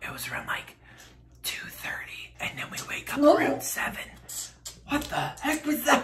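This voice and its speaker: A man whispers in a playful tone at a moderate pace, with long, frequent pauses. His loudness swings widely. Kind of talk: casual talk to camera. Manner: playful, chatty. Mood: playful, joking. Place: home room.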